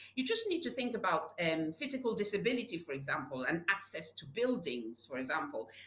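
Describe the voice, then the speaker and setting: Her medium-pitched voice swinging very widely in pitch, a woman talks at a fairly quick pace with hardly any pauses. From Nigeria. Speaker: public health leader. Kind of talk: interview. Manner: repetitive stammering, many fillers.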